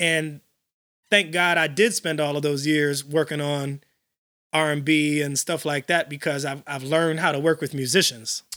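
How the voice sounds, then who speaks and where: Speaking with an American accent in a normal speaking voice, a man talks at a moderate pace in a fairly high pitch with fairly even intonation, the sound dry and close with no echo. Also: very clean recording, silent background. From Illinois, Chicago area (Elgin). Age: 40s. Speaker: house music DJ and producer. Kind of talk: casual interview.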